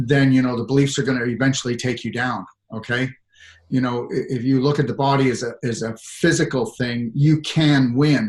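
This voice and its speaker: A somewhat breathy voice with a Canadian accent. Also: man, medium pitch for a man, moderate pace. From Canada. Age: 60s. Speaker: natural medicine practitioner. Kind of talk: interview. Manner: animated; halting.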